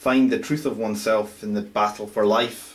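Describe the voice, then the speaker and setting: The speaker is male and his intonation is monotone and flat. He keeps a moderate pace. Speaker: amateur writer. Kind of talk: reading aloud own fantasy story. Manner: halting, stumbling reading.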